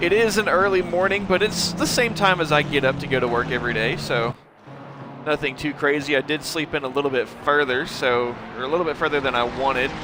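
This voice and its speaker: A man with an American accent at a fairly high pitch and fairly quick pace, with noticeable background noise. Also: ordinary pitch variation. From United States, various places. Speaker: sim racing commentator. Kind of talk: live commentary. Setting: live stream.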